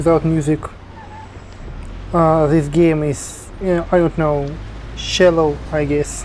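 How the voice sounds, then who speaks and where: Fairly even intonation in a Russian accent, over noticeable background noise. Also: man. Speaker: video game YouTuber. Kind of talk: game review commentary. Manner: halting, with fillers.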